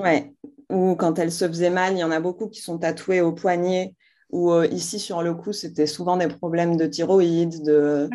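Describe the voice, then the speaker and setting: A woman speaks fairly slowly in a fairly low, dark, mellow voice with monotone, flat intonation. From Algeria, Algiers. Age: 30s. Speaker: entrepreneur, brand founder. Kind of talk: interview.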